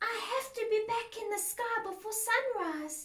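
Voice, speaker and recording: A woman's squeaky, put-on character voice at an extremely high pitch and a moderate pace. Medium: read story.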